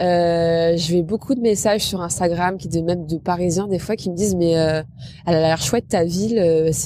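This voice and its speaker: A plain, everyday voice, a woman's, fairly low in pitch, with fairly even intonation at a moderate pace. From Normandy, France (Rouen). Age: 30s. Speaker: travel and food content creator. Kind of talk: interview.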